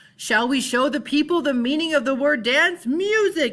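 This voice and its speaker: A woman bellows in a put-on character voice pitched high, with lively intonation. Her loudness stays very even throughout. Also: moderate pace. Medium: read story. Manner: grandiose, commanding.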